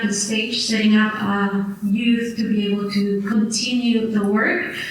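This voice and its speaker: Audible room echo and noticeable background noise fill this recording. A woman talks in a fairly high pitch with monotone, flat intonation. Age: 30s. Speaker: panelist. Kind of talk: panel discussion.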